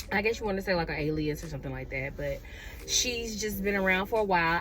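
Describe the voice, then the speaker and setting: With an American accent, a woman at medium pitch speaks in an animated tone, and room echo is audible. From Atlanta, US South. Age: 30s. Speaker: vlogger. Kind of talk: casual chat.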